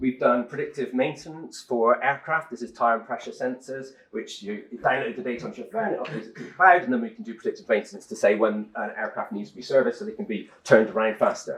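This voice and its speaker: Very fast speech with an English accent, big swings in loudness and noticeable background noise. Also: man. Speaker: tech company co-founder giving a talk. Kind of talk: conference talk. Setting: stage with audience.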